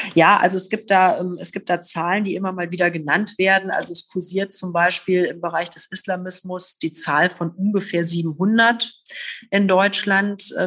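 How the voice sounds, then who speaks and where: A moderate pace with monotone, flat intonation. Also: woman, medium pitch for a woman. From Rhineland, Oberbergischer Kreis, Germany. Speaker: politician, former police officer. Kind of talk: interview. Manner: hesitant with many fillers.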